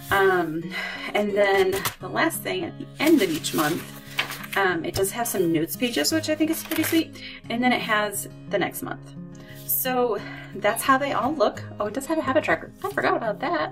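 A woman talks at a moderate pace. Clear music plays in the background. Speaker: planner reviewer. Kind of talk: casual product walkthrough.

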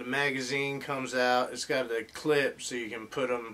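Speaking at a fairly slow pace, a man is heard. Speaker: collector reviewing an action figure. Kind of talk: casual toy review. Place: home room.

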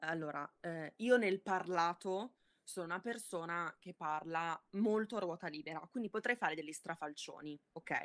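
Over a quiet background, a woman talks at a moderate pace with a fairly low pitch and ordinary pitch variation. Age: 20s. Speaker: body-positivity content creator. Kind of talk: casual interview. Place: home room.

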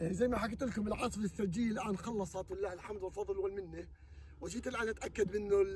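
There is light background noise behind this man's voice, and the sound is dry with no echo. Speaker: farmer vlogger. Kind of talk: casual vlog chat. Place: farm machine. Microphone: camera far.

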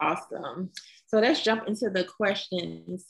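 A woman speaks at a fairly low pitch and a fairly slow pace. Her voice carries a slightly husky edge and vocal fry, with ordinary pitch variation.

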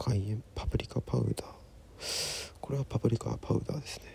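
A man is speaking. He whispers. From Sapporo, Japan. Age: 20s. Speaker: singer-songwriter. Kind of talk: cooking narration. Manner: whispered. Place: kitchen. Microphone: phone near.

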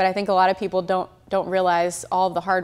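A very fast delivery in a flat monotone. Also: woman. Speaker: champion auctioneer and instructor. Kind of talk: interview answer. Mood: friendly, upbeat. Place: office. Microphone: lapel.

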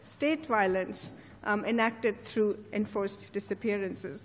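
A woman's delivery moves fairly slowly. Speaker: speaker. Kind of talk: formal introduction. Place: hall. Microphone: podium.

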